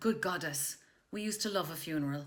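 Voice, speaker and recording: With an Irish accent, a woman with a medium-pitched voice speaks with lively intonation. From Ireland. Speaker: actress, voice artist, comedy writer. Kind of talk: comic history reading. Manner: humorous.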